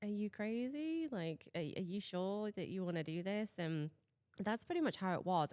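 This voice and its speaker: A woman speaks with an English accent. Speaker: guest. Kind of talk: interview. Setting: studio.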